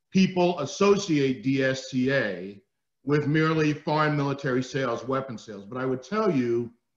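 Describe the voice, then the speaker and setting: Lively intonation from a man with a New Jersey accent, fairly high in pitch, at a moderate pace. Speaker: retired army general. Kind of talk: keynote speech. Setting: webinar. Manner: loud.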